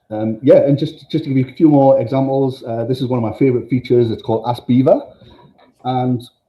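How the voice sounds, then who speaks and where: This man talks at a fairly quick pace in a somewhat breathy voice of medium pitch. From northern England. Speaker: tech company presenter. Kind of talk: product demo. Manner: casual, enthusiastic, with many fillers.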